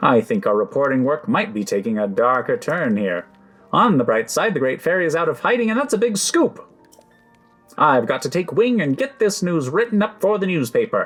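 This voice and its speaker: Faint music plays in the background as a man performs a put-on character voice. He talks at a fairly quick pace in a high pitch, with very wide pitch swings. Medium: game stream. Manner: brisk, upbeat.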